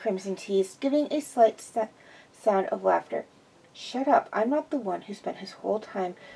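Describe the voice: The delivery is plain reading aloud. Lively intonation carries it along.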